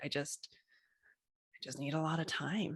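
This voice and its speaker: A woman speaks over a quiet background. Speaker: intuitive career coach. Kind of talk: casual chat. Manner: fast.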